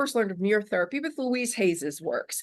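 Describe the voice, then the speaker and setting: A woman's animated, medium-pitched voice at a fairly quick pace, with ordinary pitch variation. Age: 60s. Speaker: author and self-esteem coach. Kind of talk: interview.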